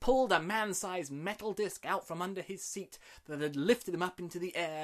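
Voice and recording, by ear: This speaker reads aloud in a natural voice with ordinary pitch variation.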